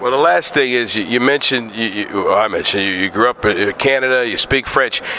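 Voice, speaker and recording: A man speaks at a fairly quick pace with ordinary pitch variation over noticeable background noise. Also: medium pitch for a man, hardly any pauses. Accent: American. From northeastern Pennsylvania. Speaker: interviewer. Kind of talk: interview. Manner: animated.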